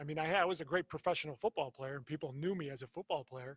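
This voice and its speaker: Recorded with a dry, close sound and no echo, a man's somewhat breathy, fairly high voice shows ordinary pitch variation. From US, grew up in Croatian immigrant family. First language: Croatian. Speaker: football coach and athletic director, former NFL player. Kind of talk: interview. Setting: live on location at a school.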